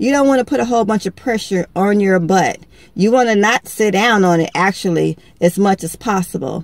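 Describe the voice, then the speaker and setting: A woman talks at a moderate pace with ordinary pitch variation. The sound is dry, with no echo. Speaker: beauty vlogger. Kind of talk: tutorial. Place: car. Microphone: phone near.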